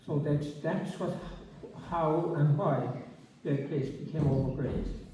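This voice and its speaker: Noticeable background noise and audible room echo surround a man speaking at a fairly slow pace. His voice is fairly high-pitched, with fairly even intonation. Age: 80s+. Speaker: retired agricultural adviser and author. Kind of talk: public talk interview. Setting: community centre with audience. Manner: halting with many fillers.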